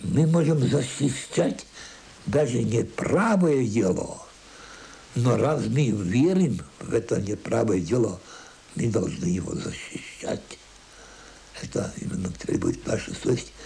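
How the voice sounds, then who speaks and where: Amid noticeable background noise and audible room echo, a man speaks at a very slow pace with long, frequent pauses and very wide pitch swings. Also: medium pitch for a man. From Latvia, then Russia and Manchuria. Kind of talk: interview.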